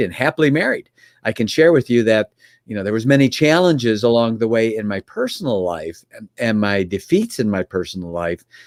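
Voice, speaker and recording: The recording is very clean, with a silent background and a dry, close sound with no echo. A man talks at a moderate pace with a Chicago accent. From US Midwest, Chicago area. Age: 60s. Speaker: business mentor. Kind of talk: podcast interview.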